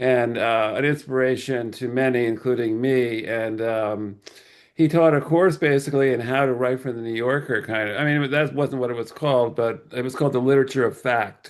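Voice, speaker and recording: A man with an American accent talks at a fairly quick pace, medium pitch and fairly even intonation in a plain, everyday voice against a quiet background. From New Jersey. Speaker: writer. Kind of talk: interview.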